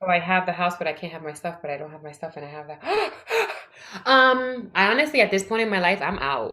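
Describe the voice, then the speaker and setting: A woman with an American accent talks at a very fast pace and a fairly low pitch. Her pitch swings very widely and her loudness shifts in big swings. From US Northeast, the Bronx, New York City. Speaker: educator and inspirational speaker. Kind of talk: casual chat. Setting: remote call from mother's house.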